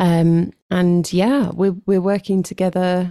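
A woman with a southern English accent speaks at a fairly slow pace in a fairly low pitch with a dark, mellow tone. The recording is very clean with a silent background. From London, England. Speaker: worship leader and songwriter. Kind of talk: casual interview.

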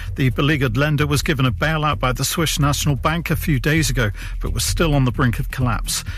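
Against noticeable background noise, a man with a fairly high pitch talks at a fairly quick pace with ordinary pitch variation. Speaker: news reader. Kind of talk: radio news bulletin reading.

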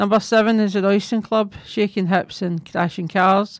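In a very clean recording with a silent background, a woman speaks at medium pitch and a moderate pace with monotone, flat intonation. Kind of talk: radio DJ patter between songs, announcing tracks and back-announcing. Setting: community radio studio. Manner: brisk, friendly, scripted-sounding song intros and sign-off.

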